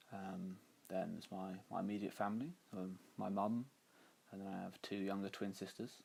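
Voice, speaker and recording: This man's voice is fairly low in pitch. He keeps a moderate pace. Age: 20s. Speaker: university worker. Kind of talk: interview. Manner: halting.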